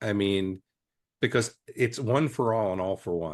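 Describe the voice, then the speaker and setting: Over a quiet background, a man with a plain, everyday voice speaks at a moderate pace, with a fairly low pitch and ordinary pitch variation. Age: 60s. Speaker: EMS leader and podcast co-host. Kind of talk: casual podcast discussion.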